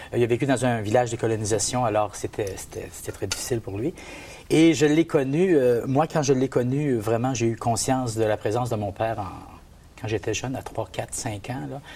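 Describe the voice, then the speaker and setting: This man talks at a fairly quick pace, his medium pitch showing ordinary variation. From Gaspésie, Quebec. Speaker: men's group participant. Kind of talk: testimony. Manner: halting.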